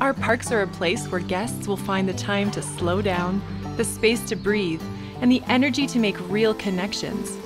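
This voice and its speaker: A woman speaks at a moderate pace with clear music playing behind her. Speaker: voice actor. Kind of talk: TV commercial read. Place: booth. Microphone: studio mic.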